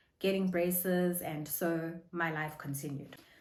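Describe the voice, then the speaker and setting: A woman at fairly low pitch and a fairly slow pace, with audible room echo. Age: adult. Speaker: vlogger. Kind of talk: casual vlog talk.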